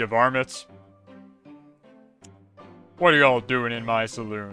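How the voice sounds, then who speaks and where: Faint music plays in the background as a man uses a put-on character voice at a moderate pace. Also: medium pitch for a man, fairly even intonation. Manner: trying hard to stay in character.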